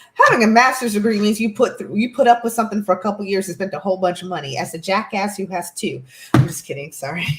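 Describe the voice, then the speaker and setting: The speaker talks at a very fast pace. Noticeable background noise sits underneath. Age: 30s. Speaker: healer, guest. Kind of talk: casual chat.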